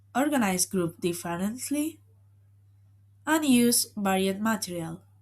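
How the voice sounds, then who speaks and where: Over a silent background in a very clean recording, a woman speaks very slowly at a medium pitch, somewhat breathy, her pitch swinging very widely. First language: Spanish. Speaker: university student. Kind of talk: student presentation.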